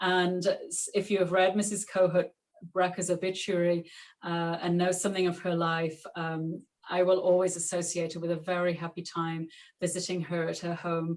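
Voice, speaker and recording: In a Yorkshire accent, a woman talks at a moderate pace. Her fairly low pitch stays monotone and flat. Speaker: author and clothes historian. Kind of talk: author talk; reading aloud from her book.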